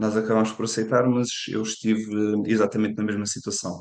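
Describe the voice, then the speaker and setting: Delivered in a flat monotone, the speech moves at a fairly quick pace. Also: man. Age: 20s. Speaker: football analyst. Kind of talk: podcast interview.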